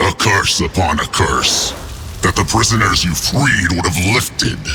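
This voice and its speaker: A man puts on a character voice, very deep and low, at a moderate pace, with clear background noise behind him. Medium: machinima. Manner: menacing, sardonic.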